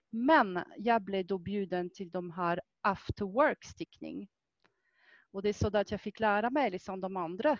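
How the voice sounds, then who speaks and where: Speaking at a fairly slow pace, a woman talks with a French accent. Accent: French accent in Swedish. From France. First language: French (speaking Swedish). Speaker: fitness instructor and knitter. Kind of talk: casual chat.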